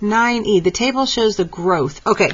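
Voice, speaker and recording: A woman with a medium pitch talks at a moderate pace. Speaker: math teacher. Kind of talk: tutorial.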